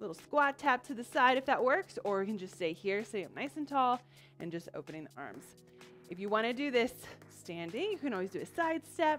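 A woman's voice with big swings in loudness and long, frequent pauses, over faint music in the background. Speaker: fitness instructor. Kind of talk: workout class instruction. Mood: upbeat, encouraging. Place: studio.

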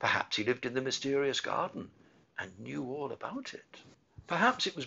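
An unforced reading voice delivers the words with fairly even intonation.

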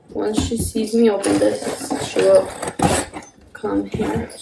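A woman over loud background noise. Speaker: parent vlogger. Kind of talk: casual vlog chat. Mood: cheerful. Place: home room. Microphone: phone near.

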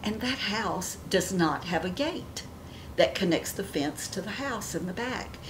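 A woman talks at a fairly slow pace with noticeable background noise behind her. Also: lively intonation. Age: 70s. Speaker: beauty vlogger; lifestyle vlogger. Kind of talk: casual chat. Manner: animated. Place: home room.

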